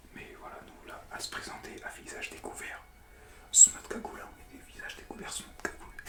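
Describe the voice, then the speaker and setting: A man is whispering at a moderate pace as noticeable background noise carries on. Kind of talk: ASMR whispered comedic talk. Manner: whispered.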